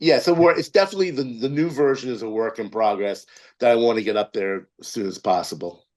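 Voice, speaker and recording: Very fast speech comes from a man at a medium pitch with very wide pitch swings. The background is quiet. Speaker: film producer and writer. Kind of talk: interview.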